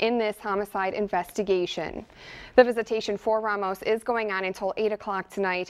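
A woman with an American accent, fairly even intonation and a fairly quick pace. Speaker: TV news anchor and reporter. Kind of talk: studio news anchor delivery. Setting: TV studio and on location. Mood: serious, somber news tone. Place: studio.

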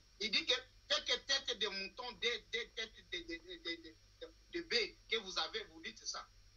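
The voice is raised and projected, with a bright, sharp tone and very wide pitch swings. It moves at a very slow pace with big swings in loudness. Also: man. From Democratic Republic of the Congo. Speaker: political analyst. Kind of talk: political talk show discussion. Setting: TV studio. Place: home room. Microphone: video call.

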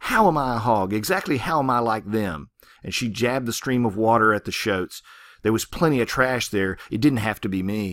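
This natural reading voice shows pitch that varies in an ordinary way.

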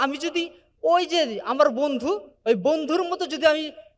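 Pitch varying in an ordinary way, a man speaks at an extremely high pitch. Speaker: entrepreneur. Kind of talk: motivational speech. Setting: stage with audience.

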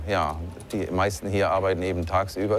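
Faint music plays behind a man with a very deep, low pitch. His delivery is monotone and flat at a moderate pace, the sound dry with no echo. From Germany, Palatinate. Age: 40s. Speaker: call center owner. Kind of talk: interview; interview answer. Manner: halting.

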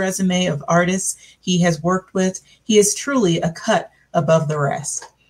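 A woman speaks at a medium pitch with a somewhat breathy quality, ordinary pitch variation and a quiet background. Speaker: discussion moderator. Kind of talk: moderated panel discussion. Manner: formal. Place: home room. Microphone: video call.

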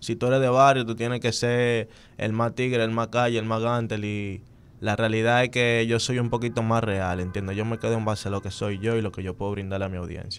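In a Dominican accent, the speaker talks at a fairly quick pace with monotone, flat intonation. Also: man. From Dominican Republic, Santo Domingo; Dominican Republic. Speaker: urban music artist; interview guest. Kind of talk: casual interview. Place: studio. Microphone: studio mic.

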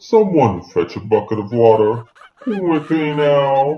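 A woman's put-on character voice, very deep and low in pitch, at a fairly slow pace. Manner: formal, pompous.

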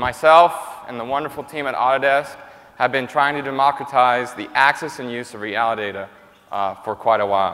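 Speaking at a fairly quick pace, the man uses ordinary pitch variation. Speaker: keynote presenter. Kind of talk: conference keynote presentation. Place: stage. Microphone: lapel.

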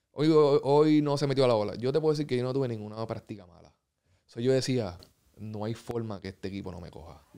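Against a quiet background, a man talks at a very fast pace in a dark, mellow tone, his medium pitch showing ordinary variation and his loudness swinging widely. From Puerto Rico. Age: 30s. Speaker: professional basketball player; guest. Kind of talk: casual interview. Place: studio. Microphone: studio mic.

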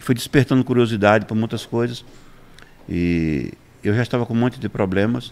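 A man of medium pitch speaks at a fairly quick pace with ordinary pitch variation and long, frequent pauses. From Brazilian Northeast, interior of Pernambuco. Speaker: pastor; pastor guest. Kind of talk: interview testimony. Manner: halting, repeats words. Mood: somber personal testimony. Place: studio. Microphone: studio mic.

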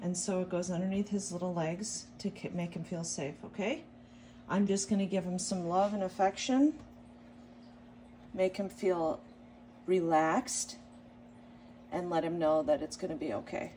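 A woman with a somewhat breathy, dark and mellow tone speaks at a moderate pace with ordinary pitch variation and long, frequent pauses, over light background noise. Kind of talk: tutorial. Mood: calm, soothing. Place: home room.

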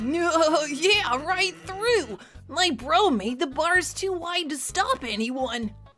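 A woman's put-on character voice at a very slow pace, with clear music in the background. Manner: laid-back, drawling.

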